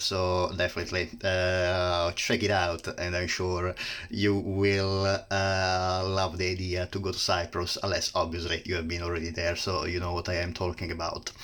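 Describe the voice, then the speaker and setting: Speaking in an Italian accent, a man with a very deep, low pitch keeps a flat monotone at a moderate pace with hardly any pauses. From Italy. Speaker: plant reviewer. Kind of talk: casual educational talk. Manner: halting, many fillers.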